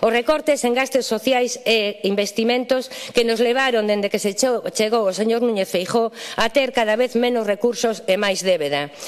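A woman's fairly high voice at a moderate pace, with ordinary pitch variation, very even loudness and hardly any pauses, over noticeable background noise. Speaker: politician. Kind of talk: parliamentary speech. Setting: parliament chamber. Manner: formal.

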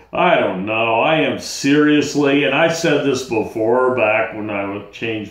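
In a room with audible echo, a man talks at a very slow pace. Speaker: vlogger talking about bipolar. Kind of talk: angry rant. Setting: solo video at home. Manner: irritated, worked-up, venting; blunt, casual, exasperated. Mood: frustrated, ranting, weary. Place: home room. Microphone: phone near.

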